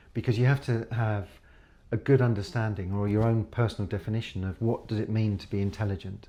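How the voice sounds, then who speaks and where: A man with a British accent speaks very fast in a fairly low pitch. His tone is dark and mellow, his intonation fairly even. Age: 60s. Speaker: professor, computer scientist. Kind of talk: podcast interview.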